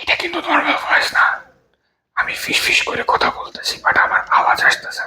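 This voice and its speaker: Putting on a character voice, a man talks at a fairly quick pace, breathy and raspy. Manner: whispering.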